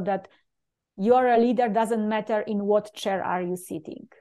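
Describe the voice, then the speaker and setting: A woman with a Polish accent talks at a fairly slow pace with fairly even intonation. Her voice is fairly high-pitched, with a dark, mellow tone. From Poland. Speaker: leadership coach and speaker. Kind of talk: interview.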